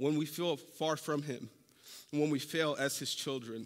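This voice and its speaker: A man's moderate-paced speech, very clean recording, silent background. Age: 30s. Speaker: preacher. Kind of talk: sermon. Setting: church.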